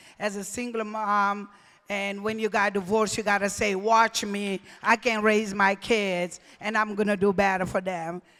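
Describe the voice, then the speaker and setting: A woman speaks at a moderate pace and a medium pitch, with a non-native accent and flat, monotone intonation. The recording is very clean, with a silent background. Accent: foreign. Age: 60s. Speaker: deputy mayor. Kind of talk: acceptance speech.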